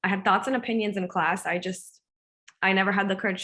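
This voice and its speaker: With an American accent, a woman speaks at a medium pitch in a bright, sharp tone, her intonation fairly even against a quiet background. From US, Indian American family. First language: Gujarati. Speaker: counselor. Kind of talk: panel discussion.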